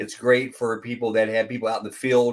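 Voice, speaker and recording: Here a man talks at a moderate pace in a very clean recording with a silent background. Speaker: business owner presenting marketing services. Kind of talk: screen-share tutorial. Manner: casual, halting with repetitions.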